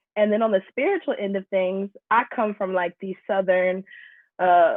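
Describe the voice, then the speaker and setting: This is a normal speaking voice with an American accent. The intonation stays fairly even. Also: woman. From Atlanta, US South. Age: 20s. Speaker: musician. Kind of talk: interview. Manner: casual.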